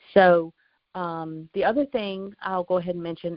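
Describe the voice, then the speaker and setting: This woman has a North Carolina accent and a fairly low pitch. Her pace is moderate. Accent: Southern US, North Carolina. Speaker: insurance agent trainer. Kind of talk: training call.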